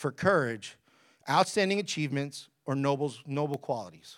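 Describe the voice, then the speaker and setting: The speaker uses an animated tone at a moderate pace. The recording is very clean, with a silent background. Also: man. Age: 30s. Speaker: pastor. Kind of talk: sermon.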